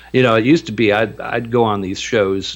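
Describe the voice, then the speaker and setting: Speaking with a normal speaking voice, this man keeps a medium pitch, a moderate pace and ordinary pitch variation. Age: 60s. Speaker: ufologist and musician. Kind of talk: radio interview.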